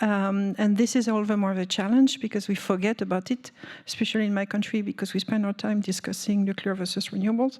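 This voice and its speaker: A woman with a French accent speaks very fast in a monotone, flat way. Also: medium pitch for a woman. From France. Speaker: energy policy panelist. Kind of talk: panel discussion. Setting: conference room with audience. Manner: hesitant, many fillers.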